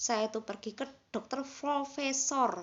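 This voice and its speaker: The pitch moves up and down in an ordinary way. The speaker is a woman. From Indonesia, Banyuwangi (East Java). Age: 40s. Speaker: vlogger sharing illness story. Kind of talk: personal testimony. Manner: casual, halting.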